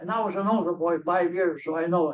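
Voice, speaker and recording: A man talks in a high pitch for a man, with ordinary pitch variation. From Greece, Arcadia. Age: 80s+. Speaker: audience member at a discussion forum. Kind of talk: open-floor audience comment. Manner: halting.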